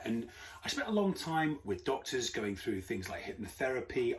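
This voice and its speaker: Moderate-paced speech from a man, noticeable noise behind it. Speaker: anxiety coach and podcast host. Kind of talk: interview podcast. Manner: chirpy.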